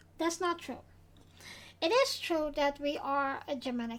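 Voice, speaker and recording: This woman has a high pitch. She speaks with a Dutch accent. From Netherlands. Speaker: vlogger. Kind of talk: casual explainer vlog. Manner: halting.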